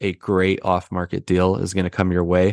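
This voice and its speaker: In a dry, close sound with no echo and a quiet background, a man with an American accent talks at a moderate pace in a very deep, low pitch. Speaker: real estate investor. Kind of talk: podcast interview.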